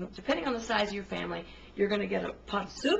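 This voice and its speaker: Over light background noise, a woman speaks with vocal fry and ordinary pitch variation. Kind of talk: casual cooking tutorial. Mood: chatty, thrifty tips. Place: kitchen.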